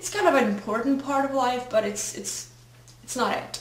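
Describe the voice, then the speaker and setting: Someone with a Czech accent speaks at a moderate pace amid noticeable background noise and audible room echo. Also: woman. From Czech Republic. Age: 20s. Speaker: fashion blogger. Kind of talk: casual vlog. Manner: hesitant.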